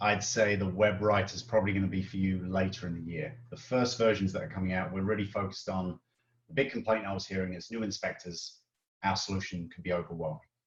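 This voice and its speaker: A man talks at a very fast pace with a fairly low pitch. His voice is somewhat breathy, with ordinary pitch variation. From Britain. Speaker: software product lead. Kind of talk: live Q&A webinar.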